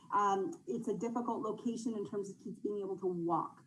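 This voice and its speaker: Heard with audible room echo, the voice keeps a moderate pace and ordinary pitch variation. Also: woman. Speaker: youth organization representative. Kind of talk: council presentation.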